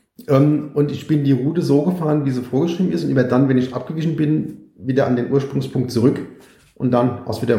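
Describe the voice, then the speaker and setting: A man's somewhat breathy, dark, mellow voice at a medium pitch, fairly quick, with audible room echo. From Mainz, Germany. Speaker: cyclist and e-bike expert. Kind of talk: casual interview.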